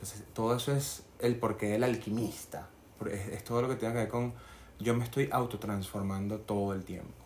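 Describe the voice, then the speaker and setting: In a Venezuelan accent, a man at medium pitch speaks at a moderate pace with fairly even intonation. His voice is somewhat breathy, and the room echo is audible. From Venezuela, Barinas. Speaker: candle maker. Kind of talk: casual chat.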